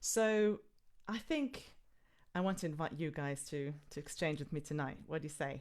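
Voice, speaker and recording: A woman with a very deep, low pitch speaks at a moderate pace, using ordinary pitch variation. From Israel. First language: Hebrew. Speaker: singer and workshop leader. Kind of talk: live online music workshop talk. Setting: live video stream. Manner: animated.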